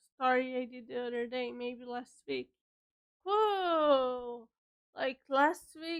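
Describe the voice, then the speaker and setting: The speech moves at a very slow pace with ordinary pitch variation, in a Portuguese accent. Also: woman. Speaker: writer streamer. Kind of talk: casual chat. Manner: halting.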